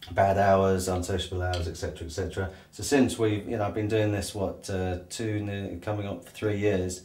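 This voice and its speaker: A man speaks in a monotone, flat intonation. His voice is somewhat breathy. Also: fairly low pitch for a man, moderate pace. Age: 40s. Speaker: plumber. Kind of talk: interview answer. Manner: hesitant, casual.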